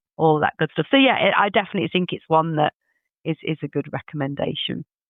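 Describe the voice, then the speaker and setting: A woman with a northern English accent speaks at a very deep, low pitch. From English Midlands. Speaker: HR leader. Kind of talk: podcast interview.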